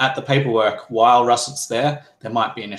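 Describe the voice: Plain reading aloud fills the recording.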